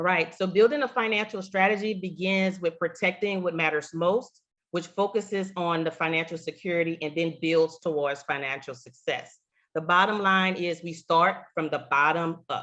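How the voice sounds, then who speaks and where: A woman's fairly low voice in a slight Southern US accent, with ordinary pitch variation and a moderate pace. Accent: slight Southern twang. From Louisiana. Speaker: insurance agent, Air Force veteran. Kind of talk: webinar presentation.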